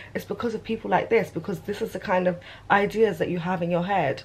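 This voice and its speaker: A woman talks fairly fast, her intonation fairly even and her voice somewhat breathy. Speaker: vlogger. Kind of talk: casual vlog rant. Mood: irritated, indignant. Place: home room. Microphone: phone near.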